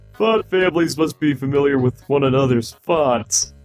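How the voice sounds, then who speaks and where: A man puts on a character voice at a fairly high pitch and a moderate pace, with faint music in the background. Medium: dub. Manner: soft-spoken, melancholy.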